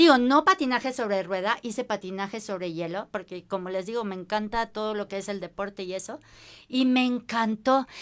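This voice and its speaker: Over a quiet background, a woman speaks at a fairly quick pace. Her pitch is fairly high, with ordinary pitch variation. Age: 50s. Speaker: skin care consultant; guest. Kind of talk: casual chat. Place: empty room.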